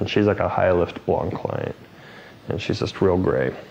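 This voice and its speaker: Over noticeable background noise, a man's intonation stays fairly even. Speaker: hairstylist and educator. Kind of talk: live haircutting tutorial. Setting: live studio broadcast with crew. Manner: fast; casual, rambling with fillers.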